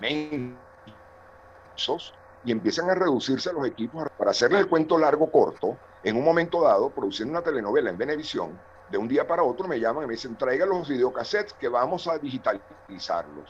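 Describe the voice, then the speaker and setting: Using a normal speaking voice, a man talks at a fairly quick pace. His pitch is fairly high and his intonation lively. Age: 60s. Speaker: television director and university lecturer. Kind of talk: participant comment in online seminar.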